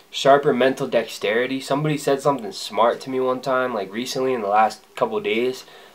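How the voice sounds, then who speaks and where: The man talks at a moderate pace. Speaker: vlogger. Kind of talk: casual vlog chat. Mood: upbeat, reflective. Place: home room. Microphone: camera far.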